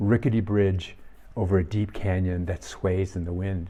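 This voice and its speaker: A man with an American accent talks at a moderate pace in a fairly low pitch. His tone is dark and mellow, and the background is quiet. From US Midwest, Minnesota. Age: 70s. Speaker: firefighter and soccer coach giving reflections. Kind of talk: reflective talk.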